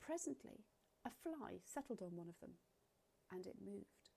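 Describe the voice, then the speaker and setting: In an English accent, a woman with a dark, mellow tone speaks at a fairly slow pace while her pitch swings very widely. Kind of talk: children's story read-aloud.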